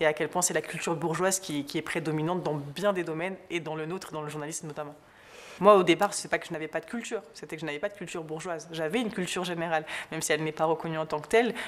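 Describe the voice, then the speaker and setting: Speaking at a very fast pace, a woman with a slight southern French accent keeps a fairly low pitch and fairly even intonation. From southern France. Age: young. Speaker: journalist. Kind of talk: interview. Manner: hesitant.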